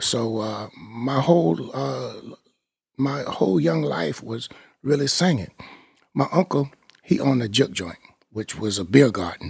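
Here a man talks in a somewhat breathy voice. His intonation is lively and his pace moderate. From US South, central Florida (Apopka). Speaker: a cappella singer. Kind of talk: storytelling interview. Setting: record label office. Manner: halting, many fillers.

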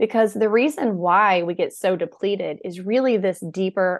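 This woman talks at a fairly slow pace in a normal speaking voice, with ordinary pitch variation. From US South. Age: 40s. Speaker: burnout expert and author. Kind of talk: podcast interview.

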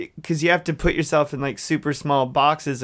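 Speaking in an ordinary speaking voice with an American accent, someone talks at a fairly quick pace with fairly even intonation, recorded very cleanly against a silent background. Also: man. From US South, Dalton, Georgia. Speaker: pop musician. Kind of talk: casual interview chat.

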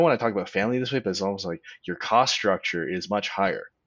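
A man's unremarkable speaking voice with a Canadian accent, fairly low in pitch, with ordinary pitch variation. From Canada, small-town Ontario. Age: 30s. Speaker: finance video commentator. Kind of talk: casual chat.

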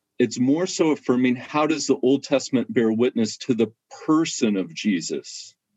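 An ordinary speaking voice moves at a moderate pace with lively intonation. The loudness stays very even throughout. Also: man, medium pitch for a man. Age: 40s. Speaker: biblical scholar. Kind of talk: casual chat.

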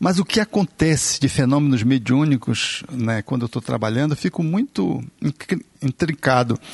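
Against a quiet background in a dry, close sound with no echo, a somewhat breathy man talks with lively intonation and hardly any pauses. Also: medium pitch for a man, moderate pace. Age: 50s. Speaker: physician, therapist and spiritist speaker. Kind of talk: casual chat.

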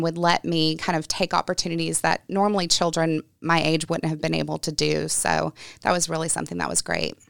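A woman talks at a fairly quick pace in an ordinary speaking voice with fairly low pitch. The sound is dry and close, with no echo. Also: very clean recording, silent background. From US South, Gulfport, Mississippi coast. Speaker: nonprofit community relations leader. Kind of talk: interview. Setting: studio.

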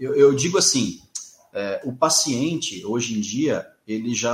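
This man has a plain, everyday voice, fairly high in pitch. He talks at a fairly slow pace. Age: 40s. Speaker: marketing consultant for health professionals. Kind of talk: interview.

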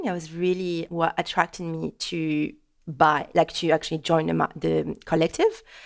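A woman speaks at a moderate pace in a French accent. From France. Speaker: French teacher and online course creator. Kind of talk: casual interview.

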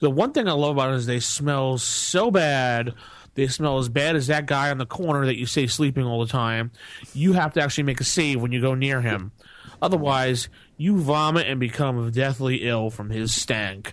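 Here a man talks in a plain, everyday voice. His pitch is medium, with ordinary variation. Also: moderate pace. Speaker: podcast host. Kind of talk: casual chat. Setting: recorded podcast.

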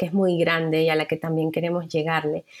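The woman's voice sits at a fairly low pitch in a very clean recording with a silent background. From Venezuela, Caracas. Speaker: journalist. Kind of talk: casual interview chat.

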